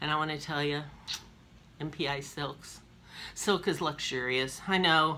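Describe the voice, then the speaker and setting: At a fairly slow pace with long, frequent pauses, a woman speaks in a very deep, low pitch with a bright, sharp tone and fairly even intonation, amid audible room echo. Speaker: cross-stitch vlogger. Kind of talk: casual show-and-tell.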